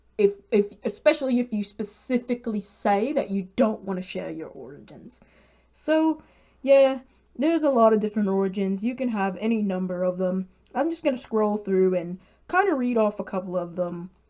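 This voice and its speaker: A woman speaks at a moderate pace. Her voice is medium in pitch, with a dark, mellow tone. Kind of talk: casual talk to camera.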